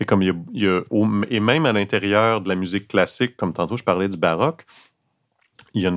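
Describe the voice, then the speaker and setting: In a Quebec accent, a man talks at a fairly quick pace and a fairly low pitch, the sound dry and close with no echo. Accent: Québécois French. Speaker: actor and opera baritone. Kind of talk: casual chat. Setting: in a café.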